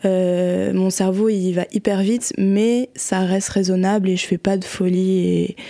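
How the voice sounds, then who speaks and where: Through noticeable background noise, a woman speaks at a medium pitch in a monotone, flat intonation. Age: 20s. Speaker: guest with bipolar disorder. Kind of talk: casual chat.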